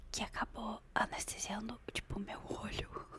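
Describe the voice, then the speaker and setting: A woman is speaking. She is whispering. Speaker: ASMR creator. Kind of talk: ASMR gossip storytelling to camera. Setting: close microphone. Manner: soft-spoken.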